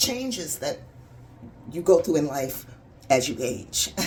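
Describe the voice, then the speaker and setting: With noticeable noise behind her, a woman keeps to a moderate pace. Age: 60s. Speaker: vlogger. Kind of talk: casual video diary. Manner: halting.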